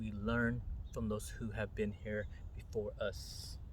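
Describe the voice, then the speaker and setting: A man speaks at a fairly slow pace. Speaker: meditation guide. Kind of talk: spiritual talk. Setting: outdoors. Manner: whispered, soft-spoken.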